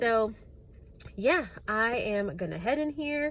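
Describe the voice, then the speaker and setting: Her voice sits at a fairly high pitch, with vocal fry. This woman's pitch swings very wide. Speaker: new elementary teacher, vlogger. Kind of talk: casual vlog. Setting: outdoors outside school. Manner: casual, many fillers.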